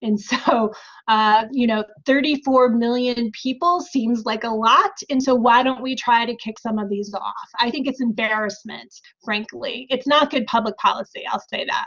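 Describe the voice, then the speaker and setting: In an American accent, a woman speaks at a moderate pace with a high-pitched voice. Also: ordinary pitch variation. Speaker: professor. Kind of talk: Q&A answer.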